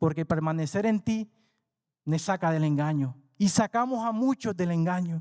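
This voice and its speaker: A man speaks at a moderate pace and a high pitch with ordinary pitch variation and very even loudness, in a very clean recording with a silent background and a dry, close sound with no echo. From coastal region, Latin America. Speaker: preacher. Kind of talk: sermon.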